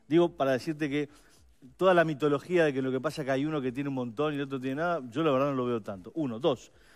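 Over a quiet background, a man talks at a very fast pace with a fairly high pitch and ordinary pitch variation. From Uruguay. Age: 50s. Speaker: political adviser, campaign policy coordinator; guest. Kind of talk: radio/TV panel interview. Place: studio.

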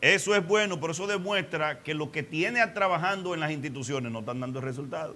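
A man talks at a fairly quick pace with ordinary pitch variation. His voice sits fairly high and has a bright, sharp tone.

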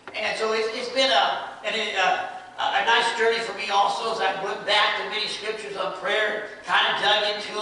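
A man projects his raised voice at a moderate pace with monotone, flat intonation. Strong room echo and light background noise surround him. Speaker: preacher. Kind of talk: sermon. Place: church. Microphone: camera far.

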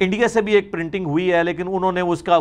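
The speaker is a man. He keeps to a moderate pace. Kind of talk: lecture. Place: studio. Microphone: lapel.

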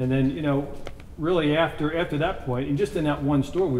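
A man talks at a fairly quick pace with ordinary pitch variation. Light background noise and audible room echo surround him. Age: 50s. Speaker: snack company founder; interviewee. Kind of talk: interview. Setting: on site at factory. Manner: halting, many fillers. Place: home room. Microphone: lapel.

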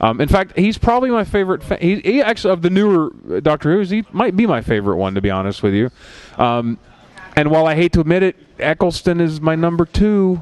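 With an American accent, the speaker talks very fast in very wide pitch swings at a very even loudness. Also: man, high pitch for a man. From Philadelphia. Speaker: podcast host. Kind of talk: casual chat. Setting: bar with small audience. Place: studio. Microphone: headset.

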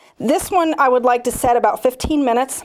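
This woman's voice has a high pitch. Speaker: cake decorating instructor. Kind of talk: tutorial.

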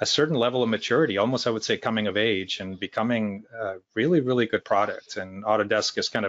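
A man talking very fast with ordinary pitch variation, his dry sound carrying no echo against a quiet background. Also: hardly any pauses. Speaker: user group host opening the meeting. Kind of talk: meeting introduction remarks. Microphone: video call.

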